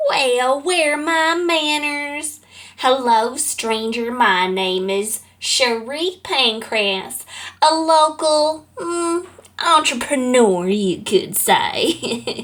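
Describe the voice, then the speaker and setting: A put-on character voice from a woman, pitched high and delivered at a very slow pace. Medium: audio drama. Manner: silky, smug, genteel.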